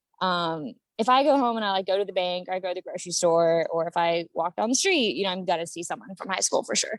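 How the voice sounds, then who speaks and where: With an American accent, the speaker talks in an animated tone at a very fast pace, with ordinary pitch variation. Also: woman, medium pitch for a woman. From US Midwest, Akron, Ohio. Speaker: actress and model. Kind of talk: casual interview chat.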